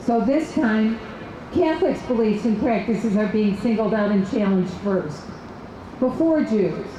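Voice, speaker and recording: A woman with an American accent speaks at a moderate pace with lively intonation, amid noticeable background noise and audible room echo. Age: 60s. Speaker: political activist. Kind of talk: rally speech.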